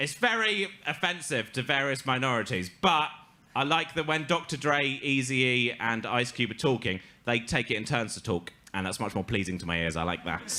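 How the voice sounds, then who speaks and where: Speaking with an English accent, a man uses a bright, sharp tone at medium pitch, with vocal fry and very wide pitch swings. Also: moderate pace. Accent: English accent, self-described. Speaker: comedian. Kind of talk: stand-up storytelling. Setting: stage with audience.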